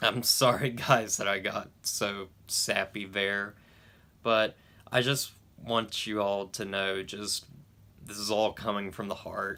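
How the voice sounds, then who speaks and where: On a very clean recording with a silent background, a man with a fairly low pitch speaks very slowly in a bright, sharp tone and a monotone, flat intonation. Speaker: YouTube movie reviewer. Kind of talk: casual vlog talk to camera. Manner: stuttering, halting; mumbling.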